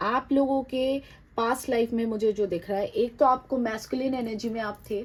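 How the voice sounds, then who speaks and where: This woman has a high pitch and speaks with a non-native accent. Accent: non-native Hindi, admits difficulty. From outside India. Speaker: tarot card reader. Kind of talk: tarot reading to viewers. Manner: halting, with hesitations and Hindi-English code-switching.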